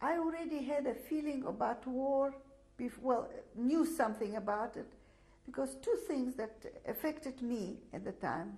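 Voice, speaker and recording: A woman's high voice with a Russian accent, lively intonation and a moderate pace. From Latvia (Daugavpils). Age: 60s. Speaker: Holocaust survivor. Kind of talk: testimony. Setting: filmed interview. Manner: halting, many fillers.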